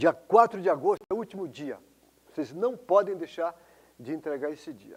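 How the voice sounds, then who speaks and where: A high-pitched man with lively intonation, a moderate pace and big swings in loudness. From Brazil, São Paulo. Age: 60s. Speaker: professor. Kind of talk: interview testimony. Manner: halting, repeats words.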